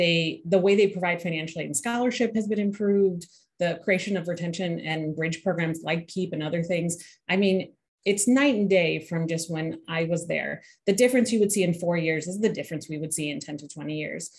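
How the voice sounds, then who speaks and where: A woman's somewhat breathy voice, fairly low in pitch, with ordinary pitch variation. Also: fairly quick pace. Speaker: university admissions administrator; panelist. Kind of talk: panel discussion. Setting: video call. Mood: calm, reflective. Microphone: video call.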